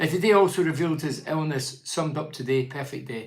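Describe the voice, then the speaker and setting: With a Scottish accent, a man talks very fast at a fairly high pitch, with audible room echo around him. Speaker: football pundit. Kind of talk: live stream commentary. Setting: live stream. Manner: loud.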